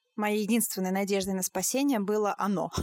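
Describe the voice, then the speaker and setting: A woman with an ordinary speaking voice uses fairly even intonation in a dry, close recording with no echo. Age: 20s. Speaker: podcast host, German teacher. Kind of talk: casual interview chat. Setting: remote call.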